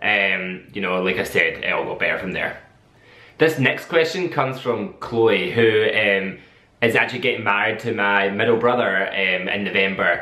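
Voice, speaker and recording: Over noticeable background noise and audible room echo, a man at medium pitch talks at a moderate pace with lively intonation. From Scotland, Dunoon (west coast). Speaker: vlogger, camp worker. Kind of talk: casual vlog Q&A. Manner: hesitant, many filler words.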